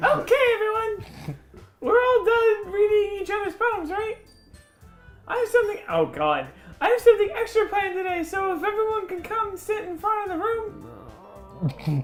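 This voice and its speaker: With faint music in the background, a woman does a squeaky, put-on character voice at an extremely high pitch. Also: moderate pace. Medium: game stream. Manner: upbeat, calm.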